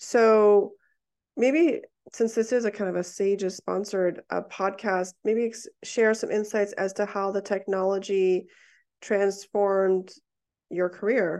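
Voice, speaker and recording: A woman's voice sits at medium pitch with a dark, mellow tone. She talks at a fairly slow pace. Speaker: surgeon and podcast co-host. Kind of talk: casual interview chat. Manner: animated.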